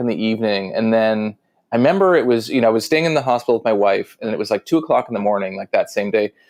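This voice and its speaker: A man with a Canadian accent and medium pitch at a very fast pace. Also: quiet background. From Canada. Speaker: author and sales trainer. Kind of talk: casual interview chat.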